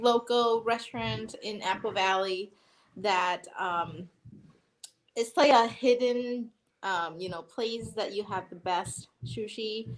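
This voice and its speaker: Very slow speech comes through on a very clean recording with a silent background. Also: woman. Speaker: morning show co-host. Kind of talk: casual chat. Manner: hesitant, many fillers.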